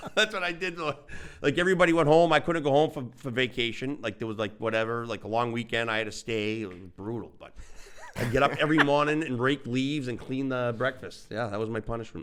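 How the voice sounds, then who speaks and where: With a Boston accent, the speaker goes at a very fast pace with big swings in loudness over noticeable background noise. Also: man, medium pitch for a man, lively intonation. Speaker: podcast co-host. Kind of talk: casual chat.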